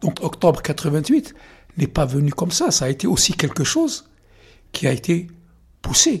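Against a silent background in a very clean recording, a man with a high pitch talks at a fairly slow pace, with ordinary pitch variation and long, frequent pauses. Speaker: journalist. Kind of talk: interview.

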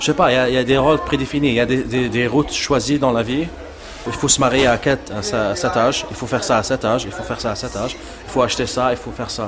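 Background noise is noticeable and the room echo is audible. A man talks with ordinary pitch variation. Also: medium pitch for a man, fairly quick pace. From Libya, Algerian-Sudanese family. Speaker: photographer. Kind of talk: interview. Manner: halting.

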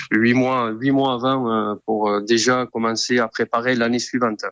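A man at a medium pitch, fairly slow and monotone, with a dry, close sound with no echo and a quiet background. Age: 50s. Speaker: bullfighting club president. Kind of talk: radio interview. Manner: halting, many hesitations.

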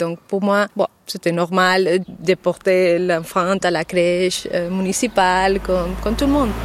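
At a very slow pace with hardly any pauses, a woman speaks with fairly even intonation and very even loudness, the sound dry and close with no echo. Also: medium pitch for a woman. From Mallorca, Spain. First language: Spanish or Catalan (speaking French). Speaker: mother. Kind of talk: interview testimony. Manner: halting.

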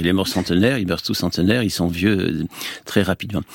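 In a very clean recording with a silent background, a man speaks at a very deep, low pitch. The sound is dry and close with no echo, and his pace is fairly quick. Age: 70s. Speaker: Orthodox monk and priest. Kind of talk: radio interview. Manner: halting.

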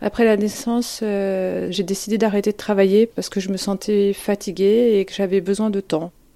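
The voice has a dark, mellow tone and monotone, flat intonation. It runs on with hardly any pauses. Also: woman, medium pitch for a woman, moderate pace, very clean recording, silent background. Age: 40s. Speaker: former therapy patient. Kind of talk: testimony. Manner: halting.

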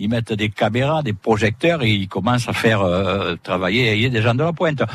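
Against a quiet background, a man with a medium pitch speaks at a fairly quick pace in a somewhat breathy voice. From southern France, Sète. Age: 70s. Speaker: retired former photographer defending local cuisine. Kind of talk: live radio interview. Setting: outdoor broadcast in a fishermen's hut.

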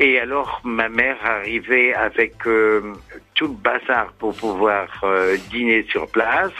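Against noticeable background noise, a man with a medium-pitched voice speaks at a very slow pace. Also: ordinary pitch variation. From Somme, northern France. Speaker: radio caller. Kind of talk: casual phone chat.

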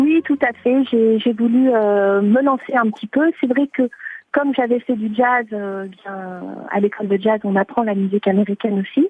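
The pace is fairly slow, with ordinary pitch variation. The sound is dry and close, with no echo. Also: woman, fairly high pitch for a woman. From France. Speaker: singer-songwriter. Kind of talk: radio interview. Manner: halting.

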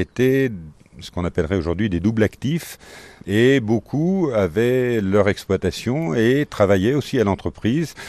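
A man's medium-pitched voice with a dark, mellow tone and lively intonation, at a fairly slow pace, in a dry, close sound with no echo. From Faramans, Isère, France. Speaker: former company head. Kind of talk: interview.

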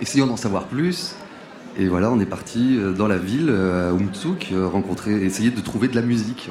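Over noticeable background noise, a man talks with a fairly low pitch and ordinary pitch variation. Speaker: band member. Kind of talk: interview chat.

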